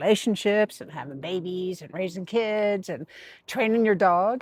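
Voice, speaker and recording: With a dry, close sound and no echo, a woman at medium pitch uses an ordinary speaking voice at a moderate pace. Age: 60s. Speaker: life design vlogger. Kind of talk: personal vlog monologue. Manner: conversational, with many fillers and repetitions.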